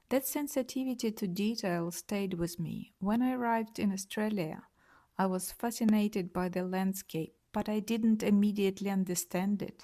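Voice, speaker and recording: A woman's somewhat breathy voice carries a dark, mellow tone at a moderate pace. The recording is very clean, with a silent background. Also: medium pitch for a woman, ordinary pitch variation. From Ukraine, Kyiv. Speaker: artist. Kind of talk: interview answers, prepared statement.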